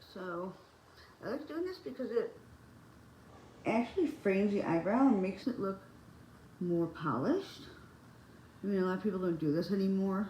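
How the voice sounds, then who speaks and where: Audible room echo surrounds a woman whose voice is somewhat breathy and dark and mellow in tone, her intonation lively. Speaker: beauty vlogger. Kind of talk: casual chat. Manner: halting.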